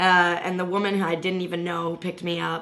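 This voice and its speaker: Medium in pitch, a woman talks at a fairly quick pace with audible room echo. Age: 30s. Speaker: political activist. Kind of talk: casual chat.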